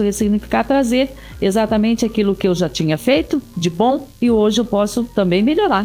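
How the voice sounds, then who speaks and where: With noticeable background noise, a woman speaks at a moderate pace with a fairly high pitch and lively intonation. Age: 60s. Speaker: pastor. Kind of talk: casual chat. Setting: studio.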